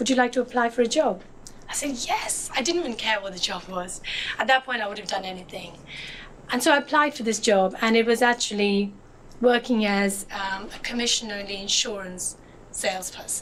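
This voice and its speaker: A woman talks at a fairly quick pace with a fairly high pitch and ordinary variation. Noticeable background noise can be heard. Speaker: motivational speaker. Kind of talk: inspirational talk. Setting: stage with audience.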